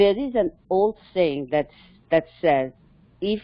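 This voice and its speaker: A woman speaks with a non-native accent. Her voice is fairly low, and her pace is very slow. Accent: foreign. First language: not English. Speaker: cybersecurity mentor. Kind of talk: casual panel discussion. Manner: halting.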